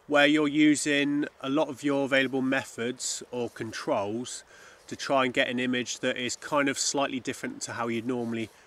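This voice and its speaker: Speaking at a moderate pace with fairly even intonation, a man is heard in a dry sound with no echo. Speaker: landscape photographer vlogger. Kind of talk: casual vlog chat. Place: open country.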